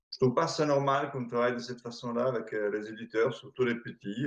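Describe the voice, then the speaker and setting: A man speaks at a medium pitch. He has an Italian accent. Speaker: board game distributor, company founder. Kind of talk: interview. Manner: hesitant, many fillers.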